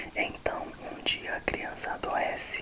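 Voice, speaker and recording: Noticeable background noise is present. Beneath it, a man whispers. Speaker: ASMR creator. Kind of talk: ASMR book reading for relaxation. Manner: whispered.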